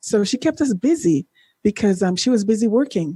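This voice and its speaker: In a dry, close sound with no echo, a woman's somewhat breathy, dark, mellow voice sits at medium pitch with very wide pitch swings. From Jamaica, then Canada from age 12. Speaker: former Olympian and life coach. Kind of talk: podcast interview, testimony. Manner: halting, many fillers.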